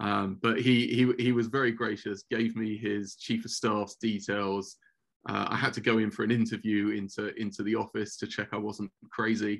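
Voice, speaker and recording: A man's fairly low voice moves at a moderate pace with monotone, flat intonation. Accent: London. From England. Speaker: former office director for a rabbi. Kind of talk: podcast interview. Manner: halting, many repeated words.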